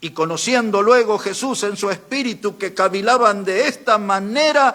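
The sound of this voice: An unforced reading voice, its pitch varying an ordinary amount.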